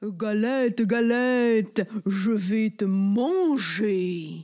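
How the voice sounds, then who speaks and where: A very slow put-on character voice with a fairly high pitch. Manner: growling, threatening.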